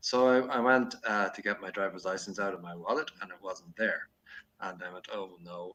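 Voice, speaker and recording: This man talks at a fairly quick pace in a Dublin accent, with ordinary pitch variation. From Ireland, Dublin. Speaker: podcaster. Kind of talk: casual chat. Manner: hesitant, many fillers.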